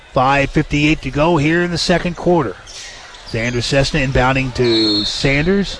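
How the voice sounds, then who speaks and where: A man's fairly high voice at a fairly slow pace, with ordinary pitch variation and noticeable background noise. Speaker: radio play-by-play announcer. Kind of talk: live play-by-play sports commentary. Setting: courtside in a high school gym. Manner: energetic, rising when a shot or foul happens.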